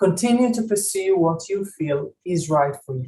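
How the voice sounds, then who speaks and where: A woman with a non-native accent speaks at a moderate pace and a fairly low pitch, her tone dark and mellow and somewhat breathy. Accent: foreign. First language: not English. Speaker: school operations director and gender researcher. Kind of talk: ceremony speech. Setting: virtual graduation ceremony. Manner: formal.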